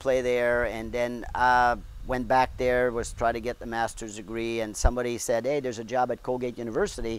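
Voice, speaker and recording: In a Quebec French accent, a man speaks at a moderate pace with a medium pitch. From Quebec, Montreal. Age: 70s. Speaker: golf director. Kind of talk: casual interview.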